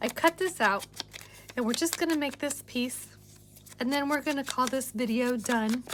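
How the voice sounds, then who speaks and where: At a moderate pace, a woman speaks in a high voice with ordinary pitch variation and long, frequent pauses. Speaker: craft video creator. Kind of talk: tutorial.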